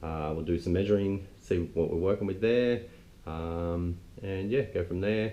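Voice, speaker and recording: A man speaks at a fairly slow pace with a very deep, low pitch. His tone is dark and mellow. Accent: Australian. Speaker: car restorer, video host. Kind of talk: casual vlog. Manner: monotone.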